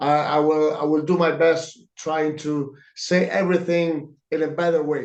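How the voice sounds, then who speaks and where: In a room with audible echo, a man with an Italian accent speaks at a very slow pace in a fairly high pitch. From Italy, Lanciano. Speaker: comic book artist. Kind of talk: interview answers. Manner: halting. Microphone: too quiet.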